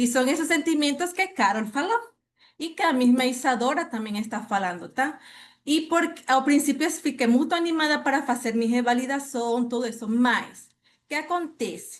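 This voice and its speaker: A high-pitched woman with lively intonation at a moderate pace, against a quiet background. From Venezuela. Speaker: participant, former teacher. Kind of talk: testimony.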